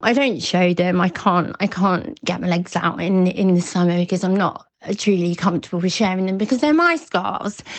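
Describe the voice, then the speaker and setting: A woman with an English accent speaks with ordinary pitch variation and very even loudness. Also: medium pitch for a woman, moderate pace. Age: 40s. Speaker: eating disorder recovery coach. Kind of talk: interview testimony. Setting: remote call. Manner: warm, smiling.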